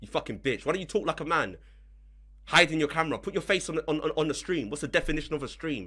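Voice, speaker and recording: Against a quiet background, a man talks very fast in an angry tone, his voice bright and sharp with vocal fry. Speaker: streamer restreaming and reacting. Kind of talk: heated rant during live stream. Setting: live stream. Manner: angry, ranting, insulting. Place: home room. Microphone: studio mic.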